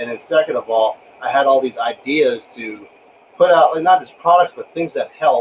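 At a moderate pace, a man speaks with a fairly high pitch and ordinary pitch variation, his loudness swinging widely over light background noise. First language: not English. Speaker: reloading channel host, military veteran; guest. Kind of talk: casual chat on livestream. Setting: live stream with online guests. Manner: animated. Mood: frustrated, venting. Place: workshop. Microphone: video call.

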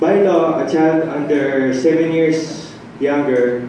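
The tone is dark and mellow, with audible room echo around it. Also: man.

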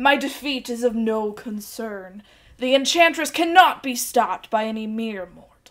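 In a put-on character voice, a female-sounding speaker talks at a moderate pace with a high pitch for a woman. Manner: dark, villainous.

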